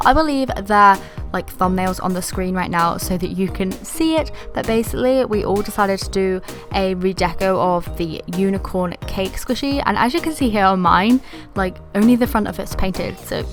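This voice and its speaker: With music in the background, a woman speaks at medium pitch and a moderate pace, using ordinary pitch variation. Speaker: craft YouTuber. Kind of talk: craft tutorial voiceover. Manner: casual, chatty.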